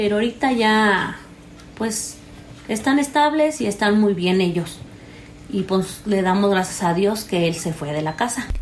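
A woman speaks at a fairly slow pace in a somewhat breathy voice with lively intonation. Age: 30s. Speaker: interviewee sharing personal story. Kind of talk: personal testimony. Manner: halting, many fillers.

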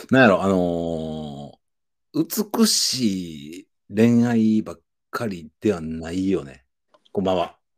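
A man with a Kansai accent speaks very slowly in a very deep, low voice, with ordinary pitch variation and big swings in loudness. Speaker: podcast co-host. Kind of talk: casual chat.

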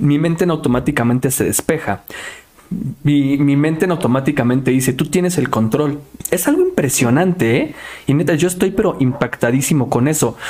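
The loudness stays very even throughout. Noticeable background noise runs underneath. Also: man, fairly high pitch for a man, ordinary pitch variation, moderate pace. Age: 20s. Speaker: podcast host. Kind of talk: casual interview. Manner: animated.

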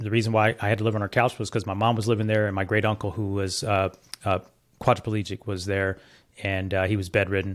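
A man with an American accent talks at a very fast pace in a fairly low voice. His intonation is monotone and flat, and the recording is very clean, with a silent background. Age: 50s. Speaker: entrepreneur and business coach. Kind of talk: interview conversation.

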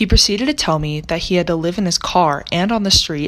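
A woman's fairly low-pitched, a normal speaking voice with an American accent and ordinary pitch variation. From US South, Charlotte, North Carolina. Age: young. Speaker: college student, research intern. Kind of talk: scripted narration.

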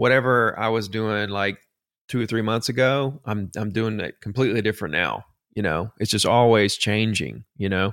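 A man talks at a fairly quick pace in a Southern US accent. His intonation stays fairly even. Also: very clean recording, silent background. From Alabama. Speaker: real estate agent. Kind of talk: interview.

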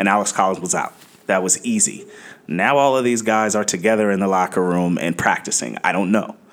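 This man has an ordinary speaking voice with ordinary pitch variation. He talks at a fairly quick pace. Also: very even loudness. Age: 30s. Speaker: fantasy football analyst. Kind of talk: casual chat.

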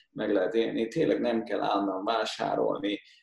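The speaker is a man. He talks at a moderate pace. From Hungary. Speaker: portrait and wedding photographer. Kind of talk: casual chat.

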